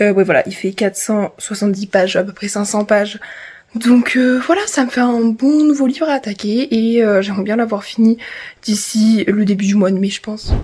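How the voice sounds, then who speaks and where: A woman with a dark, mellow tone speaks somewhat breathily at a fairly high pitch with ordinary pitch variation. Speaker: vlogger. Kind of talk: vlog diary. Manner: fast.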